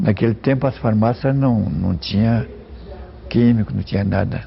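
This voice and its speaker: Noticeable background noise sits under a man's fairly low voice. He moves at a moderate pace with very wide pitch swings. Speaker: former pharmacist, local elder. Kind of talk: oral history interview.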